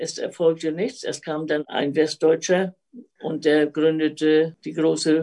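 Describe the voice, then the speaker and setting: Very deep and low, a woman's dark, mellow voice moves at a very slow pace. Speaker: retired teacher. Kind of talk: personal life story.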